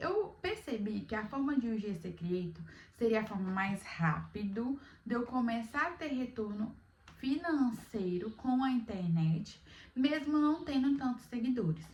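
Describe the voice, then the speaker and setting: A woman speaks at a fairly slow pace, her pitch fairly high. She has lively intonation and an ordinary speaking voice. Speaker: beginner content creator, vlogger. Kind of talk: casual vlog talk to camera.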